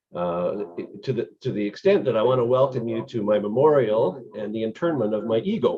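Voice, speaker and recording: Fairly quick talk from a man with an ordinary speaking voice, his medium pitch rising and falling in an ordinary way. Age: 60s. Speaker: call participant. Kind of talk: personal testimony. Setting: video call.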